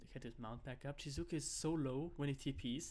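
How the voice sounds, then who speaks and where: The man's voice sits at a fairly high pitch. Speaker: esports caster. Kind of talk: live commentary. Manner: fast; animated.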